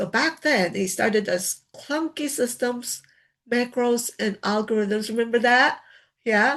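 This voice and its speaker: A woman with an ordinary speaking voice, fairly high in pitch with ordinary pitch variation, at a fairly slow pace against a quiet background. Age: 60s. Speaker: laid-off worker turned online creator. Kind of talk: personal vlog talk. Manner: conversational, frequent filler tags.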